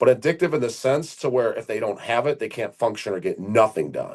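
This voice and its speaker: Against a quiet background, a man speaks in an animated tone at a fairly quick pace with ordinary pitch variation. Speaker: former bodybuilder and online coach. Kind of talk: casual chat. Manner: fast.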